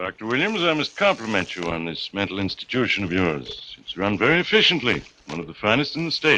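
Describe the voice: A man puts on a character voice with a bright, sharp tone. It sits at a fairly low pitch yet makes big pitch swings. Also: fairly quick pace.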